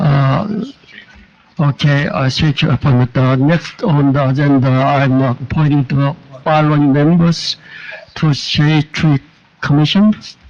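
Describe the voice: Fairly high in pitch, a man speaks at a slow pace with a slightly mellow tone and fairly even intonation.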